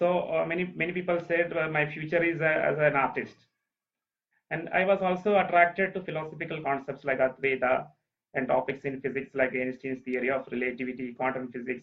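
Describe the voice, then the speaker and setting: Fairly quick in pace, a man speaks at a fairly high pitch. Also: ordinary pitch variation. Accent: Keralan. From Kerala, India. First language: Malayalam. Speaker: speaker on ancient Indian texts, former space scientist. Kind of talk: talk. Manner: halting.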